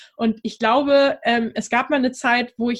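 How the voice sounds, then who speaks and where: A woman with a high voice for a woman speaks at a moderate pace with ordinary pitch variation. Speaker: dating coach for singles. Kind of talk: casual interview.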